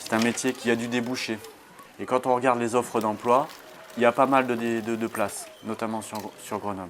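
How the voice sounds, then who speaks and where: A man talks at a moderate pace and medium pitch, with monotone, flat intonation. He leaves long, frequent pauses over noticeable background noise. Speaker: nursery childcare assistant. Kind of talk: interview.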